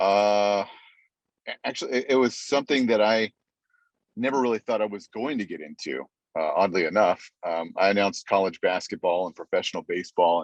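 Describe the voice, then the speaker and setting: With an American accent, a man has an unremarkable speaking voice at a fairly low pitch with ordinary pitch variation, in a dry, close sound with no echo. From United States. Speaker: ring announcer. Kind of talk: interview answer.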